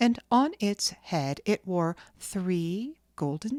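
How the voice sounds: Lively intonation colors a natural reading voice.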